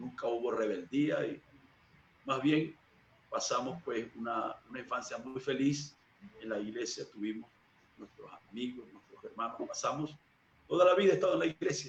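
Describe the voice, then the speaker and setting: Moderate pace, big swings in loudness and long, frequent pauses. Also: man. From Venezuela, Barcelona (Anzoátegui). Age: 40s. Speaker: church minister. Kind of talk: interview testimony.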